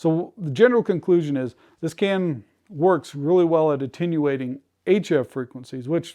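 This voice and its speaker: A man's fairly high voice, an unremarkable speaking voice, with ordinary pitch variation against a quiet background. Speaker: ham radio homesteading YouTuber. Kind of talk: tutorial. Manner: casual, with filler words.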